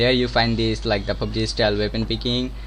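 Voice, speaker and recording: Audible room echo surrounds a man speaking with a Bengali accent. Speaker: game development streamer. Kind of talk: live-stream tutorial. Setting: live stream. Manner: halting.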